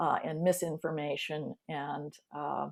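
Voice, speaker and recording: A woman talks with ordinary pitch variation. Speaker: church staff member in congregational care. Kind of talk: video call discussion. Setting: video call. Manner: hesitant, many fillers; fast.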